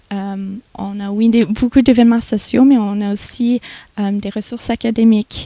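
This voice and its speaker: A woman speaks fairly slowly in a fairly high, dark and mellow voice. Her intonation stays monotone and flat while her loudness swings a lot. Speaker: student association president. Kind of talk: TV interview. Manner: halting, many repetitions.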